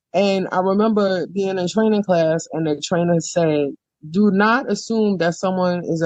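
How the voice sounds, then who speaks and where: This woman has a normal speaking voice in a medium pitch. She talks at a moderate pace with ordinary pitch variation. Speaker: podcast co-host. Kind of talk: casual chat.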